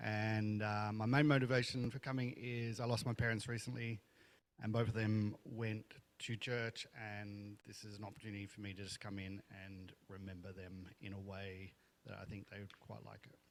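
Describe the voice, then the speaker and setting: A man with an Australian accent talks at a moderate pace in a fairly low pitch, with fairly even intonation and big swings in loudness. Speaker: first-time church visitor. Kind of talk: brief self-introduction. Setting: church with congregation, handheld microphone. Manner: hesitant.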